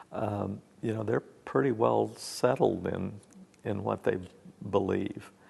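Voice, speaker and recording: The speech comes at a very slow pace with long, frequent pauses, vocal fry and lively intonation. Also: man, fairly low pitch for a man. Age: 60s. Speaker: pastor. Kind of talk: interview. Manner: halting.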